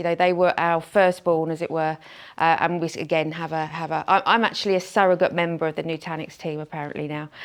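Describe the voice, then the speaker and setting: In a very clean recording with a silent background, a woman talks at a fairly quick pace with a fairly low pitch. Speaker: channel sales executive. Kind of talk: conference presentation. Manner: hesitant with many fillers and repetitions.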